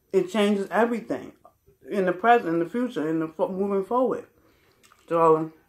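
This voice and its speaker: A woman with lively intonation at a moderate pace against a quiet background. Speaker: vlogger. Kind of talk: casual vlog chat. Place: home room. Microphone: phone near.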